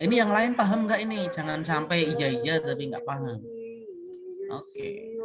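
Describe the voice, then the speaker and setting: Amid noticeable background noise and audible room echo, a man's shrill, high-pitched voice swings very widely in pitch. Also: moderate pace. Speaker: university lecturer. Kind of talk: online class lecture. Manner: casual, conversational.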